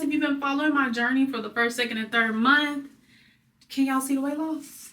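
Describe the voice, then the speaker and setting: A woman speaks in a raised, projected voice with a high pitch, an animated tone, a bright, sharp tone and ordinary pitch variation. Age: 20s. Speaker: vlogger. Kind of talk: casual vlog.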